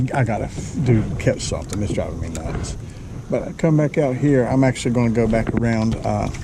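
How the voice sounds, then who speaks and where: A man speaks at a fairly quick pace with ordinary pitch variation, amid noticeable background noise and audible room echo. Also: medium pitch for a man. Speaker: kayak fishing vlogger. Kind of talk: casual vlog narration. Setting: outdoors on a kayak. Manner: loud.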